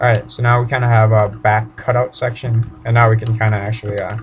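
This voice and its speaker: Somewhat breathy, a man talks at medium pitch and a moderate pace with monotone, flat intonation. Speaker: 3D modeling tutorial creator. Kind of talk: tutorial. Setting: home bedroom. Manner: casual, informal.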